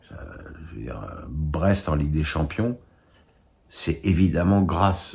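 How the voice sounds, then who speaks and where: A man speaks with a very deep, low pitch and lively intonation. His pace is very slow. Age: 60s. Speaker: football pundit. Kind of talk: casual commentary answering viewer questions. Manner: halting with frequent repetitions and fillers.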